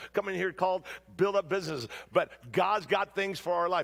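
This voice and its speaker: A man with an American accent, a high pitch and an animated tone. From Southern California. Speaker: pastor. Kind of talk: sermon. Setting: church stage with audience.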